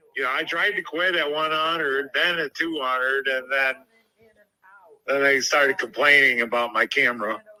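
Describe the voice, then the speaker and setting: Using an unremarkable speaking voice, a man talks at a moderate pace and fairly high pitch with ordinary pitch variation. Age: 60s. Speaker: amateur video creator. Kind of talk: phone interview.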